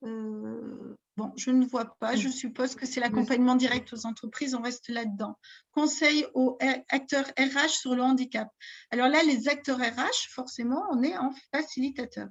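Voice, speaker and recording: Her voice sits high, and this woman speaks at a fairly slow pace with fairly even intonation. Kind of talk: interactive online workshop. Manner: hesitant, many fillers.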